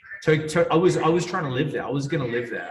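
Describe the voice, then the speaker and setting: Noticeable background noise behind a voice with ordinary pitch variation. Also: man. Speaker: PR agency founder. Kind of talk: casual interview chat. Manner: energetic.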